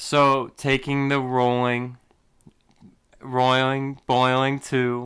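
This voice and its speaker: A man speaks in a bright, sharp tone with monotone, flat intonation. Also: very clean recording, silent background. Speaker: podcast host. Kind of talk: solo monologue podcast on spirituality and emotions. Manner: casual, conversational.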